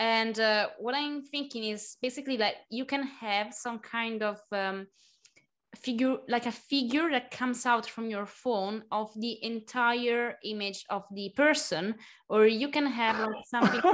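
In a plain, everyday voice, a woman speaks fairly high and fairly slowly with fairly even intonation. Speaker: podcast host. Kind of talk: casual chat.

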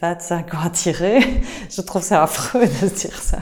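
A woman speaks with a Belgian accent and ordinary pitch variation. Noticeable background noise runs behind her. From Belgium, Liège. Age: 40s. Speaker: supermarket co-founder. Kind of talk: interview. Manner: halting, with frequent repetitions.

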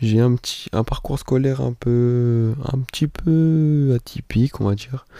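With ordinary pitch variation, this man speaks in a dark, mellow tone. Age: 20s. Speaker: podcaster. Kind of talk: casual monologue. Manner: halting, many fillers.

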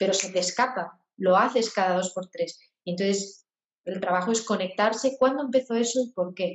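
A woman speaks at a medium pitch with ordinary pitch variation and a moderate pace. It is a normal speaking voice. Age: 40s. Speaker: singer-songwriter and voice therapist. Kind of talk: interview.

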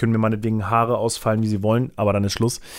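Talking very fast at medium pitch, a man comes through in a very clean recording with a silent background. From Germany, Braunschweig. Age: 20s. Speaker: content creator. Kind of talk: casual solo podcast monologue. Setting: office.

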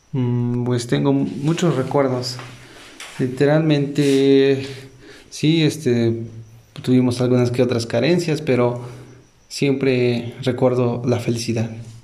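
A man speaks very slowly at a medium pitch in a flat monotone, his loudness very even, with audible room echo and noticeable background noise. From Puebla, Mexico. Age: 20s. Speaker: entrepreneur. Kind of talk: interview answers. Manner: hesitant.

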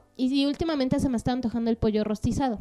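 Music plays in the background. A woman talks with a dry, close sound and no echo. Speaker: podcast co-host. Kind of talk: casual chat.

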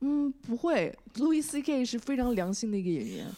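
A woman speaks at a fairly high pitch. Her pitch swings very widely. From China. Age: 20s. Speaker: stand-up comedian. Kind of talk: interview. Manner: hesitant, many fillers.

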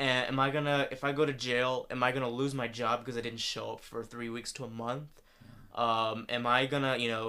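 A man's bright, sharp voice with an American accent, at a medium pitch and a moderate pace, in a monotone, flat intonation. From US South, Atlanta area. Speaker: podcast co-host. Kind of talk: casual chat.

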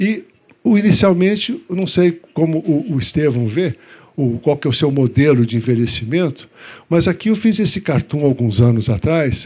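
Speaking at a moderate pace, a man with a fairly high pitch and a dark, mellow tone sweeps through very wide pitch swings. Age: old. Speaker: cartoonist and medical professor. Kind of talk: public talk.

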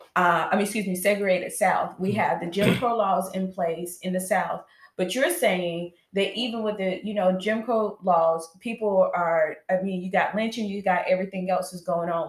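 Amid noticeable background noise, a woman speaks at medium pitch and a moderate pace, with fairly even intonation and hardly any pauses. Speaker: show host. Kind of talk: casual chat. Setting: livestream.

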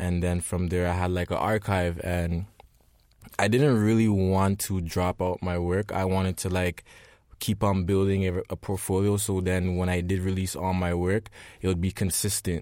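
In a very clean recording with a silent background, a man with a very deep, low voice talks at a moderate pace in a monotone, flat intonation. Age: 20s. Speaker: photographer and creative director. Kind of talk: interview.

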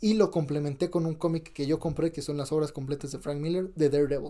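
Moving at a fairly quick pace, a man with a fairly high pitch talks in a dark, mellow tone with fairly even intonation. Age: 20s. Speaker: podcast host. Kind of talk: casual chat.

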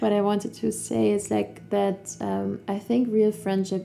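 Her pace is fairly slow. The woman talks with a German accent. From Germany, Cologne. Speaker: yoga teacher and health coach. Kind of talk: casual chat. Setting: in person, Lisbon.

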